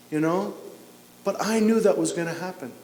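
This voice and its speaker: The speaker is a man. His voice is high-pitched. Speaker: Orthodox priest. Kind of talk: church homily. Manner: conversational, explanatory.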